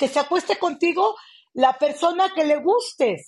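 Against a quiet background, a woman talks fairly slowly. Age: 50s. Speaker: community activist. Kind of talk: interview conversation.

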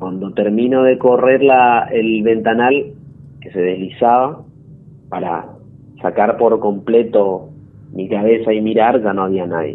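Speaking fairly slowly, a man uses a medium pitch with ordinary pitch variation. Noticeable background noise runs behind him. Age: 20s. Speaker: story-telling caller. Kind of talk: personal testimony. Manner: halting.

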